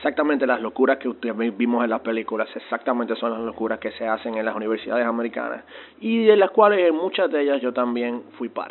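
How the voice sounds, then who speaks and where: Noticeable background noise sits behind a man talking at a very fast pace. His medium pitch shows ordinary variation. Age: 20s. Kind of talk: testimony. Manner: halting, frequent word repetitions.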